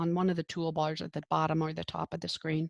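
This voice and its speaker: Recorded with a dry, close sound and no echo, a woman speaks at a moderate pace. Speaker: nursing professor. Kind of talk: lecture. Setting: video call. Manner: casual, filler-heavy.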